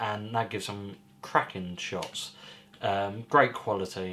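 With light background noise, a man speaks fairly slowly at a fairly low pitch in an unremarkable speaking voice. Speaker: hobby photographer vlogger. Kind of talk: casual vlog chat. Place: home room.

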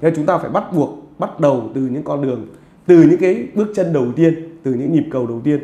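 Talking at a fairly quick pace with lively intonation, a man has a dark, mellow tone, and room echo can be heard. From Vietnam. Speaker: football vlogger interviewer. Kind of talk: interview. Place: home room. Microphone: lapel.

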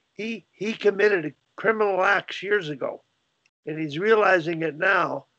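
The speech moves at a moderate pace with ordinary pitch variation over a quiet background. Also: man. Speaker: hockey coaching group leader. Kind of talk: casual discussion on a video call. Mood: reflective, somewhat critical. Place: home room. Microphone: video call.

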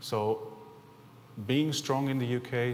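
The voice carries a German accent with fairly even intonation. Light background noise runs underneath. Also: man. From Germany. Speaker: company executive. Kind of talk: conference presentation. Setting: stage with audience. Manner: halting. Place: hall. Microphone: podium.

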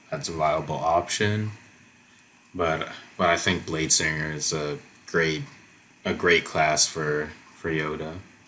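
Against light background noise, a man speaks very slowly in a very deep, low voice with a bright, sharp tone. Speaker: tabletop game content creator. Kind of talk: casual tutorial commentary. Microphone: headset.

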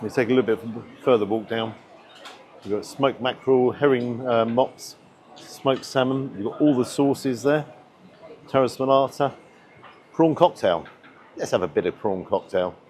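A man at a moderate pace, with long, frequent pauses, ordinary pitch variation and light background noise. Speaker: food reviewer. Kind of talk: casual vlog commentary. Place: hall. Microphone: lapel.

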